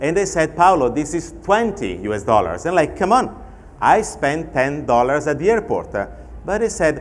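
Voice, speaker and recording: Audible room echo surrounds a man with an Italian accent whose high pitch moves in very wide swings. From Italy. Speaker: fintech expert and panel moderator. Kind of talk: conference keynote talk. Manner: conversational with anecdotes.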